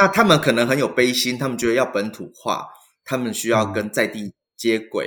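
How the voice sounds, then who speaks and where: A man uses a normal speaking voice at medium pitch with ordinary pitch variation, captured in a very clean recording with a silent background. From Taiwan. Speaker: Buddhist monk. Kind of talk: interview conversation.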